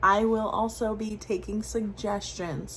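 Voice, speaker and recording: Audible room echo surrounds the voice. A woman speaks with an American accent. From US Northeast, Rhode Island. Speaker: weight-loss vlogger. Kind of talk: casual vlog. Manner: animated; filler-heavy.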